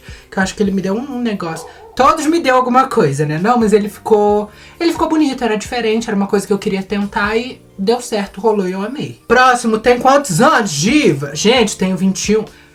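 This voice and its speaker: Over noticeable background noise, a woman speaks at a fairly quick pace and fairly high pitch with lively intonation. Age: 20s. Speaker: beauty vlogger. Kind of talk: casual chat. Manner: animated.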